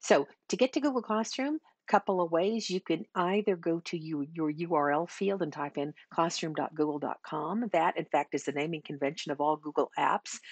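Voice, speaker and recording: With an ordinary speaking voice, a woman talks at a moderate pace and fairly low pitch with ordinary pitch variation, the sound dry with no echo and the background quiet. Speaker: teacher trainer. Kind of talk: tutorial. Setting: screen recording. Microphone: webcam.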